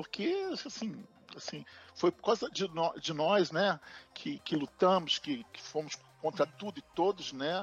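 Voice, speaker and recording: A man speaks with a high pitch, lively intonation and big swings in loudness. Long, frequent pauses break up his speech, and the sound is dry and close with no echo. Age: 60s. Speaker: project manager. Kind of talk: interview. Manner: halting, many repetitions.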